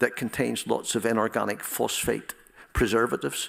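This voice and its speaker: The man's voice carries noticeable vocal fry. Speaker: professor. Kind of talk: audience Q&A answer; lecture. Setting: stage with audience. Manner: halting.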